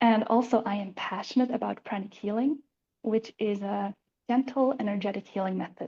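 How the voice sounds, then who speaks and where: Her tone dark and mellow and somewhat breathy, a woman with a Swiss accent speaks at a fairly high pitch and moderate pace with fairly even intonation. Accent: Swiss accent, noticeable. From Switzerland. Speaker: life coach. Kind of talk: self-introduction on panel.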